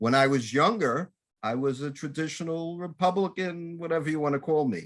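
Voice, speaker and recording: The background is silent and the recording very clean. A man is talking. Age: 60s. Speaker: talk show host. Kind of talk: interview.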